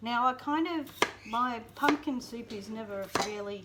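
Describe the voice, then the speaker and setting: A woman with an Australian accent speaks with ordinary pitch variation against noticeable background noise. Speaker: homestead vlogger. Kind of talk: cooking tutorial. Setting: home kitchen.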